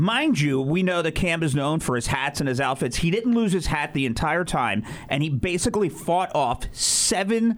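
A man's fairly high pitch in a normal speaking voice, lively intonation, very even loudness, moderate pace and hardly any pauses. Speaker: radio host. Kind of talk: morning radio show banter. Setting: studio.

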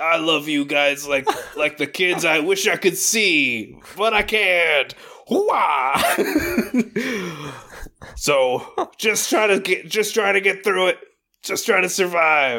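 In a put-on character voice, a man shouts gruffly at a high pitch, speaking at a very slow pace with long, frequent pauses and very even loudness. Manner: gruff, shouting pep talk.

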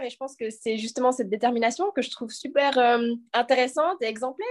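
Against a quiet background, a woman with a high voice talks at a fairly quick pace with ordinary pitch variation. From French-speaking Switzerland, Lausanne. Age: 20s. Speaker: professional sprinter. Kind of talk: casual chat. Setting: video call.

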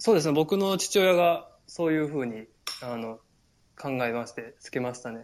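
A man with a fairly high pitch speaks at a moderate pace, his intonation lively and his loudness swinging widely. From Japan, Takarazuka, Hyogo (Kansai). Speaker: Japanese expat in Norway. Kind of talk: casual chat. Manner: hesitant, many fillers.

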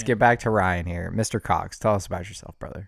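Fairly quick delivery with fairly even intonation and big swings in loudness, on a very clean recording with a silent background. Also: man. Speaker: podcast co-host.

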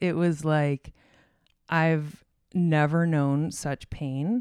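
A woman with an American accent, fairly low in pitch, very slow, in a very clean recording with a silent background. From Arizona. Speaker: designer and artist. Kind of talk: interview conversation.

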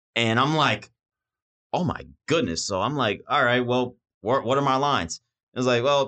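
With ordinary pitch variation, the man's tone comes out bright and sharp. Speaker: student podcast host. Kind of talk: interview.

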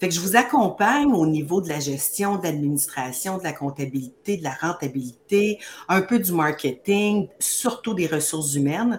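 A woman's fairly low, somewhat breathy voice, animated in tone, with very wide pitch swings at a moderate pace. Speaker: beauty business coach. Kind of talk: live-streamed promotional chat.

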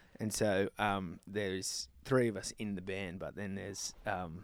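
A man with an Australian accent and fairly low pitch, on a very clean recording with a silent background. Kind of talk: casual interview.

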